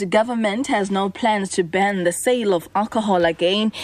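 Noticeable background noise sits behind a woman. She talks at a fairly quick pace with ordinary pitch variation. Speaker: radio newsreader. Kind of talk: news reading. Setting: radio studio broadcast. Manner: formal, brisk and even-toned, newsreader delivery.

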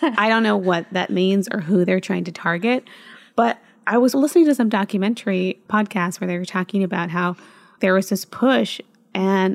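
A woman's medium pitch moves with ordinary variation as she talks at a moderate pace. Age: 30s. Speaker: podcast host. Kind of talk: casual chat.

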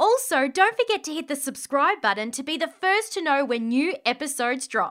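Raising and projecting her high voice, a woman speaks in a bright, sharp tone with an Australian accent and very wide pitch swings. The recording is very clean, with a silent background. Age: 20s. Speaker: podcast host and company co-founder. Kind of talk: casual interview chat; scripted outro. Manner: animated.

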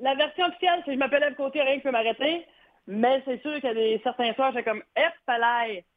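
A woman talks at a fairly quick pace, her high pitch showing ordinary pitch variation. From Quebec, Gaspésie. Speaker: comedian. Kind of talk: interview. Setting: phone call.

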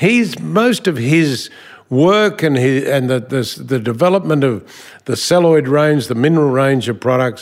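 A man with an Australian accent, medium in pitch and moderate in pace, with lively intonation, on a very clean recording with a silent background. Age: 70s. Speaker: business executive. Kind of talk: interview.

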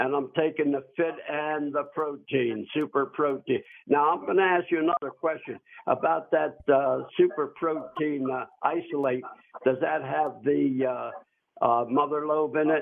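A man with a plain, everyday voice, fairly high in pitch, with fairly even intonation and a fairly slow pace. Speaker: caller. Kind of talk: phone-in question. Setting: phone call.

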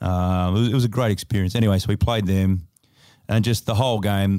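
Speaking at a moderate pace, a man with an Australian accent keeps a fairly low pitch and fairly even intonation in a very clean recording with a silent background. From Australia, Adelaide. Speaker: basketball player. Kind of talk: casual chat. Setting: studio.

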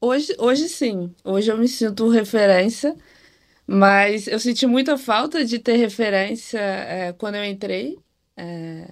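The speaker has an unremarkable speaking voice with ordinary pitch variation. The pace is fairly slow. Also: woman. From Rio de Janeiro, Brazil. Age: 20s. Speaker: data engineer. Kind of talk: casual chat.

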